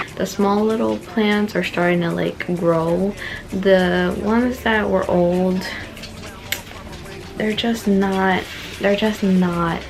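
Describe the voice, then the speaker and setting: Soft-spoken, a woman talks at a medium pitch and a very slow pace with long, frequent pauses, amid audible room echo and noticeable background noise. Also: fairly even intonation. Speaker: plant vlogger. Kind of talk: casual vlog tour. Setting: at home. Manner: soft-spoken, indoor voice.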